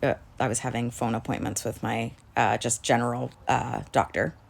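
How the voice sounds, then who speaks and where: A woman talks with vocal fry. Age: 40s. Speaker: vlogger with early onset Alzheimer's. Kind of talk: personal vlog testimony. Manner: halting, many fillers.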